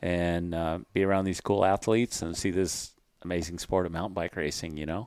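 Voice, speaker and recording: Fairly quick and fairly even in intonation, a man's very deep, low voice comes through a very clean recording with a silent background. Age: 50s. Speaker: wheel company representative. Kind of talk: casual chat. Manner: halting.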